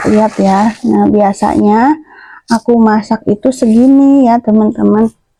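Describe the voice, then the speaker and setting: The pace is very slow, and the voice is somewhat breathy. Intonation stays fairly even in a dry, close sound with no echo. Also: woman. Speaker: housewife vlogger. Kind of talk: casual vlog. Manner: chatty. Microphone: new cheap clip-on microphone.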